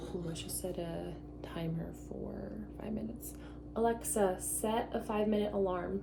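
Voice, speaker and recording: Soft-spoken and at a moderate pace, the speaker comes through noticeable background noise. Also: woman. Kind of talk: ASMR baking video, casual talk to camera. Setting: home kitchen. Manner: soft-spoken, quiet.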